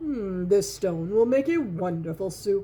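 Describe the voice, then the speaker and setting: Set at a middle pitch, the voice is a put-on character voice. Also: fairly slow pace. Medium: read story. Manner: coaxing, sly.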